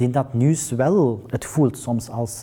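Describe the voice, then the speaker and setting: Fairly even intonation marks a man's talking at a medium pitch. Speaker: journalist at public broadcaster news desk. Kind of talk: panel discussion. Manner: halting.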